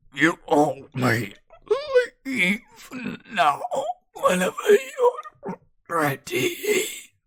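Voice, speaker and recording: In a put-on character voice, the speaker goes at a very slow pace with long, frequent pauses. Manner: ominous.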